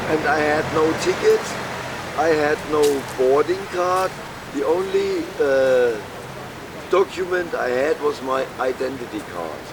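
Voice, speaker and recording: A man with a German accent and fairly high pitch, at a fairly slow pace with ordinary pitch variation and long, frequent pauses, over noticeable background noise. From Germany (Würzburg). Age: 60s. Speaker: homeless man telling his story. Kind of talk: street interview testimony. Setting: outdoors on a street.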